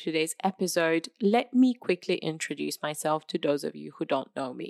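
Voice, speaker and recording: On a very clean recording with a silent background, a woman speaks at a moderate pace in a dry, close sound with no echo. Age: 20s. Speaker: podcast host and content creator. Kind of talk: solo podcast monologue.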